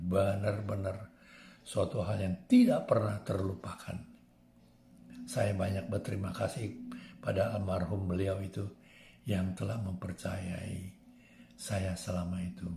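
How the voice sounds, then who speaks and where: A man talks fairly slowly in a fairly low, monotone voice with flat intonation. Long, frequent pauses break his speech, and music plays in the background. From Jakarta, Indonesia. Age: 80s+. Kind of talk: personal testimony, life memoir.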